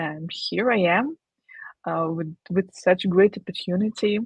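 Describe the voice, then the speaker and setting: A woman speaks at a very slow pace in a somewhat breathy voice with a medium pitch and ordinary pitch variation. The sound is dry and close with no echo. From Ukraine. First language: Ukrainian or Russian. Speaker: digital marketer. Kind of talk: livestream interview. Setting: livestream. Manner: halting.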